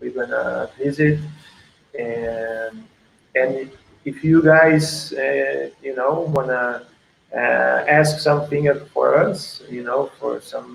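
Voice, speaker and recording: A man speaks with a Portuguese accent at a very slow pace. He leaves long, frequent pauses. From Portugal. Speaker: surf coach. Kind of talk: casual chat. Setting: video call. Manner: halting.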